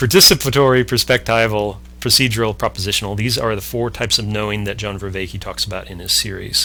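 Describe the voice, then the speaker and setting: A man's fairly low voice with vocal fry, very fast and with hardly any pauses. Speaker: podcast host explaining a concept. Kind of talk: explanatory conversation. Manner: halting, self-correcting.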